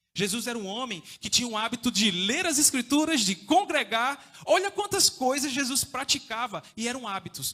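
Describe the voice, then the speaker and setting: A man's raised, projected voice at an extremely high pitch, with very wide pitch swings, a moderate pace and hardly any pauses. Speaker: evangelist preacher. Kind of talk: sermon. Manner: informal, conversational.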